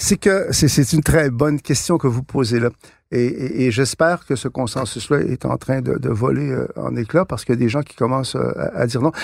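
Vocal fry runs through a man's medium-pitched voice, which shows ordinary pitch variation. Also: moderate pace, very clean recording, silent background. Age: 60s. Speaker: author and political thinker. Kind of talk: interview. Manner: halting, many repeated words.

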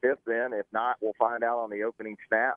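A man talks at a fairly quick pace in a plain, everyday voice. His pitch sits in the middle range. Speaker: college football writer. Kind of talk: radio interview about sports.

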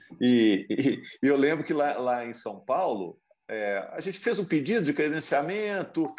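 Music plays behind a man speaking. His pitch is fairly high and his intonation lively. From Minas Gerais, Brazil. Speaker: sports commentator. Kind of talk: casual chat.

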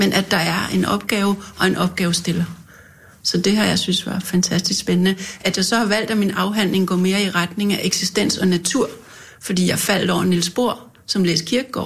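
A woman speaks with vocal fry and fairly even intonation. Her loudness stays very even. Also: medium pitch for a woman, moderate pace. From North Zealand, Denmark. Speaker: politician and bookseller. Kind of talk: casual chat. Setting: studio.

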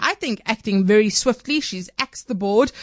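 A woman with a South African accent talks at a fairly quick pace and fairly high pitch, with lively intonation. The sound is dry and close with no echo over a quiet background. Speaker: radio news host. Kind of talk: news interview show.

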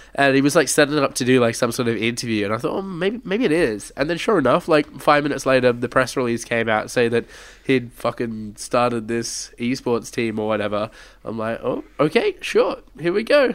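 Speaking at a fairly quick pace, a man with an Australian accent has a medium pitch. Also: ordinary pitch variation. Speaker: podcast host. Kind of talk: casual chat.

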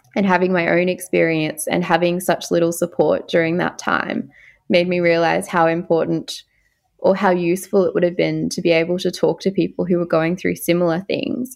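A woman with an Australian accent speaks at a fairly low pitch and a moderate pace, with fairly even intonation against a quiet background. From Far North Queensland, Australia. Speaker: psychiatry trainee doctor. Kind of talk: interview.

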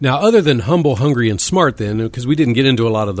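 The speaker is a man with lively intonation. His voice sounds somewhat breathy. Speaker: radio talk show host. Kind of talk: interview. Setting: studio. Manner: stumbling over words.

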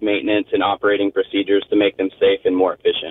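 A man with an American accent at a very fast pace. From US South, Tennessee (Crossville). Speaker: Navy veteran and golf fan. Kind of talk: interview. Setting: phone call.

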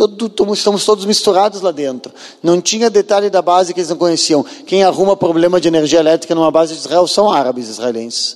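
A man's high, lively voice at a very fast pace with hardly any pauses, against noticeable background noise. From southern Brazil, Porto Alegre. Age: 40s. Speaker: former soldier and tour guide giving a talk. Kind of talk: lecture.

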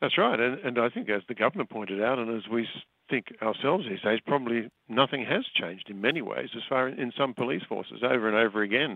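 A man at medium pitch speaks at a very fast pace. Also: ordinary pitch variation. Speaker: foreign correspondent. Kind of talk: news interview. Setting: phone call.

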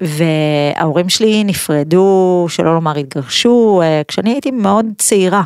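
A woman talks in a normal speaking voice at a fairly low pitch with lively intonation. Her pace is fairly slow, with hardly any pauses. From Israel, Pardes Hanna. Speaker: podcast host. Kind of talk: interview. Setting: studio.

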